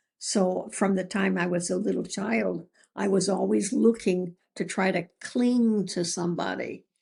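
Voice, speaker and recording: Fairly slow speech from a woman with an American accent, medium pitch, ordinary pitch variation and vocal fry. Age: 80s+. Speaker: author. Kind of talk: interview answer.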